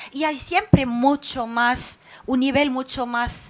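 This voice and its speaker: A woman with a non-native accent speaks at a high pitch. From Lebanon. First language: Arabic (speaking Spanish). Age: 40s. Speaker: writer. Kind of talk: public talk. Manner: halting, many fillers.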